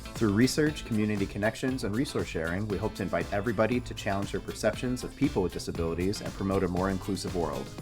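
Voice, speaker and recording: Very fast and with hardly any pauses, a man talks at a fairly low pitch with ordinary pitch variation while music plays in the background. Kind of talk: podcast host talk.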